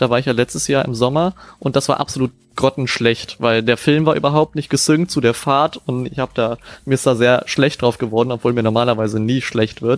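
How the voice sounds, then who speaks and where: A man at a medium pitch and a fairly quick pace, in a dry, close sound with no echo, with music in the background. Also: fairly even intonation. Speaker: music producer, podcast co-host. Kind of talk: casual chat. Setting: video call. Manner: loud.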